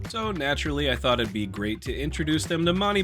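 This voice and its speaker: A man with music in the background. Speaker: polymer clay sculptor. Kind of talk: casual narration of a sculpting video. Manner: humorous, playful.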